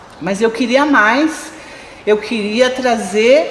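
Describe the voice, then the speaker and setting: Noticeable background noise runs behind a woman whose fairly high voice has lively intonation. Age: 50s. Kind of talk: interview testimony.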